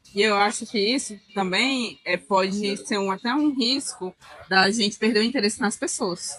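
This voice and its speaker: Her voice is a woman's at medium pitch. Noticeable background noise can be heard. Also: ordinary pitch variation, moderate pace. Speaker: podcast co-host. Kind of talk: casual chat. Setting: restaurant during brunch.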